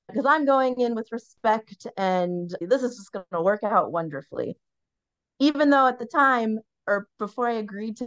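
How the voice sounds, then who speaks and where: An ordinary speaking voice talks at a moderate pace with lively intonation, over a quiet background and with a dry, close sound with no echo. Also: woman. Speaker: podcast co-host. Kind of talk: casual chat.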